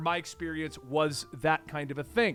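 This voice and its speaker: A man speaks loudly with an American accent. His tone is animated. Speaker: army veteran and commentary youtuber. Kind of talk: casual commentary monologue.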